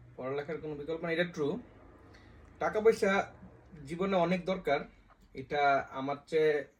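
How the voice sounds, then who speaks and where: A man with a fairly high pitch speaks in an ordinary speaking voice with ordinary pitch variation. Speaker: vlogger. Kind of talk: casual chat.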